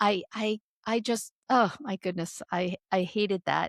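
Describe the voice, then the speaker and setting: A plain, everyday voice with ordinary pitch variation, in a dry, close sound with no echo. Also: woman. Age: 60s. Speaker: author and speaker on midlife change. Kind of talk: interview conversation.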